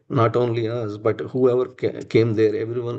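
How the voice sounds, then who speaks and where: Against a quiet background, a man with a Telugu accent speaks at a moderate pace and medium pitch in a dark, mellow tone. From India, Andhra Pradesh (Visakhapatnam). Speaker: religious devotee sharing personal memories. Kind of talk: testimony. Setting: live-streamed temple program. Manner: halting, many fillers.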